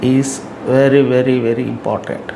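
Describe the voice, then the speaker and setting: A man talks very slowly, with noticeable background noise and audible echo from the room. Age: 70s. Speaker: YouTuber giving life advice. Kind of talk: talking-head advice monologue.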